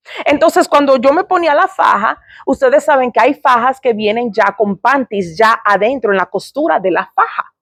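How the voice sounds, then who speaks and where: Loudness stays very even while the pitch swings very widely. The pace is moderate with hardly any pauses, and the sound is dry and close with no echo. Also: woman, high pitch for a woman. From Dominican Republic / Puerto Rico heritage. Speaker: ministry speaker. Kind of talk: personal testimony.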